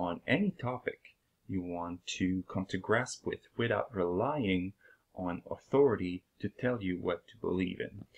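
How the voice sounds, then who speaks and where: A man with a French accent, big swings in loudness, and a dry, close sound with no echo. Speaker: video blogger. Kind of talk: channel introduction talk. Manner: hesitant, many fillers.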